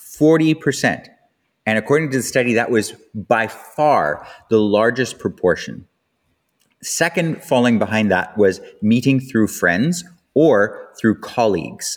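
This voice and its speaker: A man with a Canadian accent, medium-pitched and fairly slow, with lively intonation and very even loudness, in a very clean recording against a silent background. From Canada. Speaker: podcast host, sex educator. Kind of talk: casual monologue. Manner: animated.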